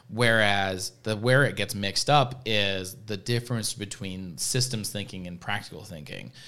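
In an ordinary speaking voice with a fairly low pitch and ordinary pitch variation, a man talks at a moderate pace with hardly any pauses and big swings in loudness. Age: 20s. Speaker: podcast host at a veterinary practice. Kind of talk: casual interview. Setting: studio.

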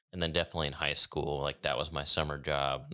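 A man's very deep, low voice with vocal fry and a bright, sharp tone, at a very fast pace. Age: 20s. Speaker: podcast host in family painting business. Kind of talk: casual chat.

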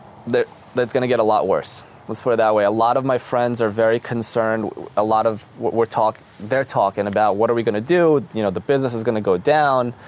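A man talks at a very fast pace with fairly even intonation. Noticeable background noise is present. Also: medium pitch for a man. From Israel, Jerusalem. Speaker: dentist. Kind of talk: casual interview chat.

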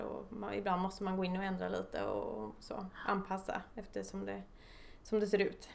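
A woman at a moderate pace, with audible room echo. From Stockholm, Sweden. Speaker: construction site manager. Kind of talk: interview.

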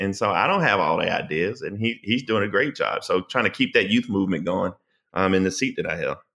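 A man speaks with a Southern US accent. His voice is fairly low in pitch, with a bright, sharp tone. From US South, South Carolina. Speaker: political commentator and attorney. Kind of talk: casual interview. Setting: podcast. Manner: eloquent.

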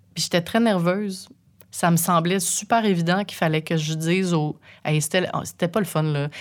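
A woman with a plain, everyday voice and fairly low pitch talks at a moderate pace with fairly even intonation in a very clean recording with a silent background. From Quebec, Saint-Eustache. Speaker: radio host. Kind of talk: casual interview.

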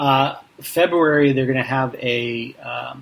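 Noticeable background noise is present. A man talks over it at a medium pitch. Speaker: podcast host. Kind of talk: casual interview chat.

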